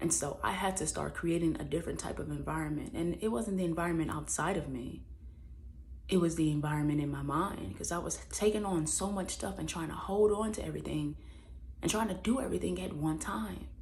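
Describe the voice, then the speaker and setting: At a fairly quick pace, a woman speaks with audible room echo. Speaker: vlogger. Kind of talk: personal reflection monologue.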